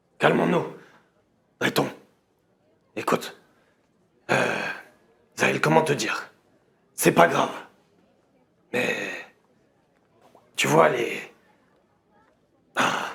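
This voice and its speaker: Using a raspy, put-on character voice at medium pitch, a man goes at a fairly slow pace with long, frequent pauses. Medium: actual play. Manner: hesitant, halting.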